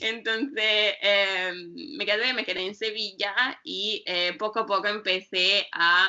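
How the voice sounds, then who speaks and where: A woman's medium-pitched voice with an Italian accent and ordinary pitch variation. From northern Italy, Bergamo. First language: Italian (speaking Spanish). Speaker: yoga teacher and writer. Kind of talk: interview. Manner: halting, many fillers. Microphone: connection cut out briefly.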